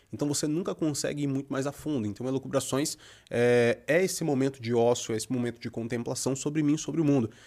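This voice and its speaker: At a very fast pace, a man with a medium pitch and a dark, mellow tone speaks with ordinary pitch variation. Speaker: poet and writer. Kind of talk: casual chat.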